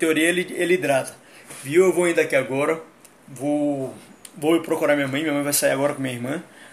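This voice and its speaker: A man's fairly high voice at a fairly quick pace, with fairly even intonation and long, frequent pauses. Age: 30s. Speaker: livestreamer. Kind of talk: casual livestream monologue.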